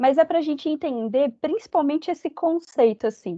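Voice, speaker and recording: Her voice dark and mellow in tone, a woman talks at a moderate pace with very wide pitch swings in a dry, close sound with no echo. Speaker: psychologist and speaker. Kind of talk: lecture. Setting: company talk with audience.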